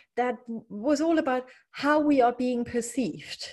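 Against a quiet background, the speaker talks with a German accent. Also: woman. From East Germany. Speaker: leadership and mindset coach. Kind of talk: casual interview. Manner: hesitant with frequent fillers.

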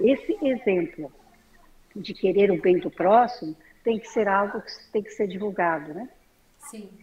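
A woman's medium-pitched voice with lively intonation, big swings in loudness, and long, frequent pauses. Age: 60s. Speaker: artisan. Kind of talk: interview.

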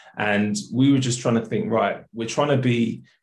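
A somewhat breathy man with a South London accent. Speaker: accountant and charity co-founder. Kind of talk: casual interview.

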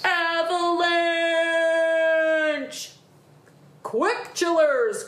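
A put-on character voice, pitched extremely high, comes with an audible echo. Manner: alarmed, urgent, crying out.

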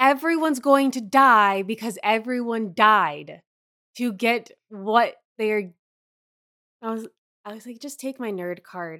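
A woman talks at a fairly slow pace with a fairly high pitch and ordinary pitch variation, her loudness swinging widely. Long, frequent pauses break up her speech, and the recording is very clean with a silent background. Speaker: podcast co-host and editor. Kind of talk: casual chat.

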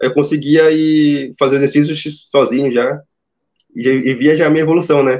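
This man has an ordinary speaking voice, fairly high in pitch, talking at a moderate pace with fairly even intonation. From Amazonas, Brazil. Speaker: engineering student turned junior programmer. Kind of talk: interview. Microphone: phone used for audio.

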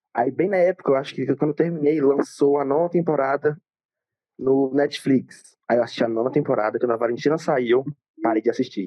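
Speaking at a fairly quick pace with very even loudness, a man uses a plain, everyday voice, fairly high in pitch, with ordinary pitch variation. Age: young. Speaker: student and aspiring influencer. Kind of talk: casual chat.

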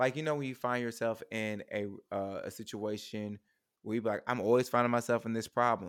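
A man with a plain, everyday voice talks at a fairly quick pace and medium pitch. His intonation is fairly even, on a very clean recording with a silent background. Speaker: guest, theater artist. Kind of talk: casual chat.

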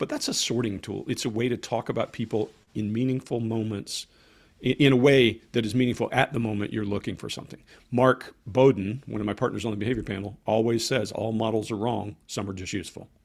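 A man with an American accent and an ordinary speaking voice, medium pitch, fairly even intonation and a fairly quick pace. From Georgia, US South (Columbus area). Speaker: former army interrogator, body language author. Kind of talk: interview.

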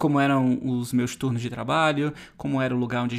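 A man's voice at medium pitch. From Brazil. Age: 30s. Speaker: travel youtuber and podcast host. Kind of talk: solo podcast monologue.

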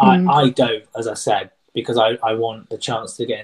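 A man speaks in a somewhat breathy voice. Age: 30s. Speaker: tree surgeon with Tourette's. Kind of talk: interview conversation. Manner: high pitch on some words.

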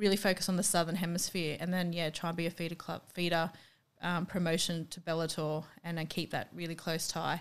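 In a strong Australian accent, a woman speaks at a fairly quick pace. Her voice is fairly low with monotone, flat intonation. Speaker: professional MMA fighter and boxer. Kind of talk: casual interview chat.

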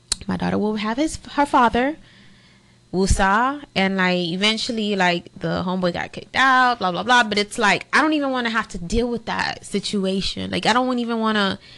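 A woman with a fairly high pitch and a bright, sharp tone speaks with ordinary pitch variation over a quiet background. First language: not English. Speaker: podcast co-host. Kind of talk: casual chat.

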